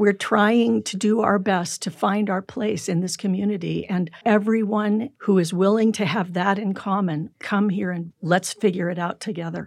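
An ordinary speaking voice: a woman with an American accent, medium pitch and fairly even intonation, at a moderate pace with hardly any pauses. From California. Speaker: psychologist. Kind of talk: interview.

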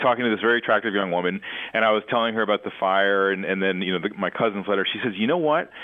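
This man talks at a very fast pace, his fairly low pitch showing ordinary variation. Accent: Mid-Atlantic. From Washington, D.C. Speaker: project director and war letters collector. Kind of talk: interview.

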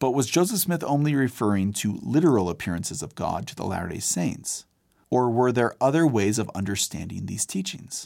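On a very clean recording with a silent background, a man speaks at medium pitch. His pace is fairly quick and his pitch swings very widely. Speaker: podcast host and narrator. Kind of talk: history documentary narration. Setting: studio. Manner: measured, formal storytelling; clear, polished, authoritative.

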